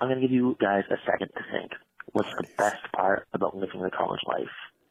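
An American accent colors a man's unremarkable speaking voice at medium pitch. His intonation is fairly even and his pace fairly quick. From Maine, US. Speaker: caller pitching an idea. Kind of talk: recorded voicemail pitch. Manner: mock-formal, theatrical.

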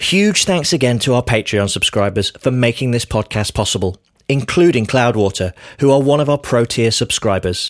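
Recorded dry and close with no echo and a silent background, a man with a British accent speaks at a moderate pace with lively intonation. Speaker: podcast host. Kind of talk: scripted narration.

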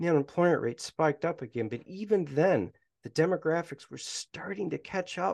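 With an American accent, a man speaks in a plain, everyday voice at a moderate pace, his pitch fairly high and his intonation lively, over a quiet background. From Michigan. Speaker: professor. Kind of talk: casual chat.

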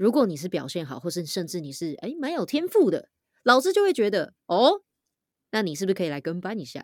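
A woman's energetic, medium-pitched voice at a moderate pace, with very wide pitch swings, in a very clean recording with a silent background. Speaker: voice actor and podcaster. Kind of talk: casual chat. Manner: loud.

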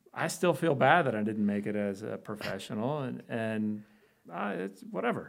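Fairly low-pitched man with lively intonation and a Chicago accent. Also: moderate pace, very clean recording, silent background. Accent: Chicago American. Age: 40s. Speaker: orthopedic spine surgeon. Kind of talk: casual interview.

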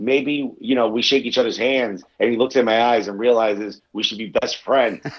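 With a New York accent, a man speaks at a moderate pace and medium pitch, with hardly any pauses and fairly even intonation. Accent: New York American. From New York, US. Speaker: comedian. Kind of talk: casual chat.

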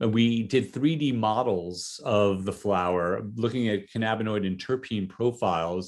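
A man's fairly low-pitched voice with an American accent, at a moderate pace, with ordinary pitch variation, an unremarkable speaking voice, and a very clean recording with a silent background. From US Northeast, New Jersey. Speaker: cannabis brand CEO and marketer. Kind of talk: interview.

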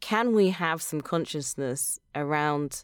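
In a British accent, a woman with a very deep, low pitch speaks at a very slow pace with ordinary pitch variation, on a very clean recording with a silent background. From London, England. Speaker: climate podcast producer and advocate. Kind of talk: interview conversation.

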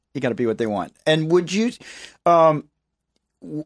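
In a very clean recording with a silent background, dry and close with no echo, a man uses a normal speaking voice, fairly high in pitch, at a moderate pace with lively intonation. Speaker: podcast host. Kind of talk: casual interview chat.

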